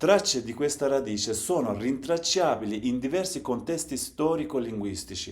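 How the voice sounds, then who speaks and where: Pitch swings very widely as a man speaks at medium pitch and a moderate pace, in a Turkish accent. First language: Zaza (speaking Italian). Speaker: language educator / channel host. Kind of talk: lecture. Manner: formal.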